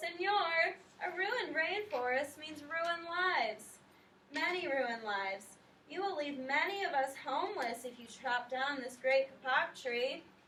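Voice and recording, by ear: A woman puts on a squeaky, high-pitched character voice. She talks at a moderate pace.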